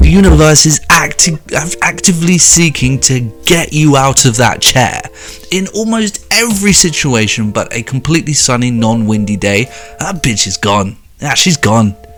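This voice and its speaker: With music in the background, a man with a British accent talks at a moderate pace in a fairly high pitch, his voice making very wide pitch swings. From Britain. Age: 20s. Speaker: YouTuber reacting to social media posts. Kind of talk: comedic reaction rant. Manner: animated.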